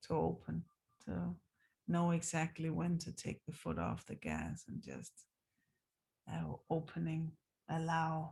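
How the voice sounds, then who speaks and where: A woman speaks in a relaxed tone. She goes at a fairly slow pace with long, frequent pauses. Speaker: dance teacher. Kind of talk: casual video diary. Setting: recorded on zoom after class. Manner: slow, relaxed.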